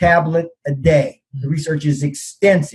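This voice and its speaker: A man's ordinary speaking voice, fairly high in pitch, at a moderate pace. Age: 60s. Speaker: naturopath. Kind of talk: interview on health podcast. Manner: many fillers and restarts.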